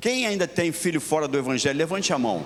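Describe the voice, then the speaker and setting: With lively intonation, a man talks while noticeable noise fills the background. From Rio de Janeiro, Brazil. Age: 80s+. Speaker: pastor. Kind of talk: sermon.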